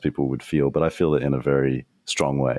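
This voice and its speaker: A man with an Australian accent talks at a fairly quick pace in a very deep, low voice with vocal fry. The sound is dry and close, with no echo. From Australia, Sydney. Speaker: strategist, trainer and podcaster. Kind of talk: podcast interview. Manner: little facial movement when speaking.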